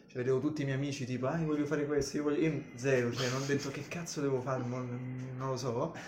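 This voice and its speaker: The speech runs at a very fast pace with hardly any pauses, in a monotone, flat intonation. Noticeable background noise and audible room echo fill the recording. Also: man, medium pitch for a man. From Rome, Italy (Calabrian family, from Palmi). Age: 20s. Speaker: comic artist. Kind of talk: casual chat.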